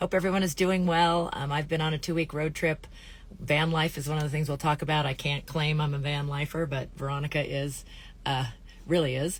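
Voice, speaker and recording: A woman with a very deep, low pitch and a somewhat breathy voice talks at a fairly quick pace in a very clean recording with a silent background. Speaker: interview host. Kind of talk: casual live interview talk. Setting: outdoors. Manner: upbeat.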